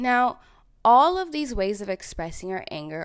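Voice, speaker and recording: In a Canadian accent, a woman with an ordinary speaking voice talks at a fairly high pitch and a moderate pace on a very clean recording with a silent background. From Ontario, Canada (small town). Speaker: podcast host, social worker. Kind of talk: self-help podcast monologue.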